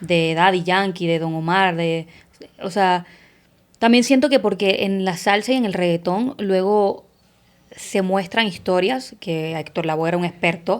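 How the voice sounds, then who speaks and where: This woman speaks in a Puerto Rican accent. Her pitch varies in an ordinary way. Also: medium pitch for a woman, fairly slow pace. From Puerto Rico. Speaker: actress. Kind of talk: podcast interview answer.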